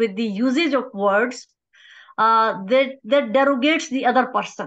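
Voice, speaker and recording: In a Pakistani accent, a woman speaks at a high pitch with ordinary pitch variation. The background is quiet. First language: Urdu. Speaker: academic researcher; conference presenter. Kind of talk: conference presentation. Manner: halting, many fillers. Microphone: video call.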